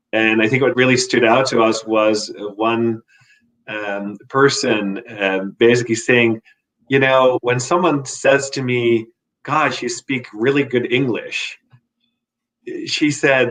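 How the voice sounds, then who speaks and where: A man's very slow delivery at a medium pitch, with fairly even intonation. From Netherlands. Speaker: corporate sales director. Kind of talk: panel discussion.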